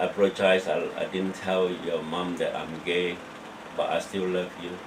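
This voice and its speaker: Over noticeable background noise, a man talks at a fairly slow pace with a fairly low pitch. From Malaysia. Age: 60s. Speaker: asylum seeker. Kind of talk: interview testimony. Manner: halting.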